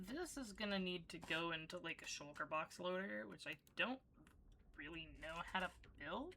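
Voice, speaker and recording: Quietly, a woman talks at a fairly low pitch with a bright, sharp tone and vocal fry. Her pace is moderate and her intonation lively. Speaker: streamer. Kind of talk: casual gameplay livestream chat. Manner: quiet, low volume; low energy.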